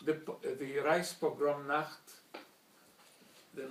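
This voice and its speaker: At a very slow pace, a man talks with a fairly high pitch. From Slovakia (Bratislava), then Hungary. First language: German. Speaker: Holocaust survivor speaker. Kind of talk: testimony. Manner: formal.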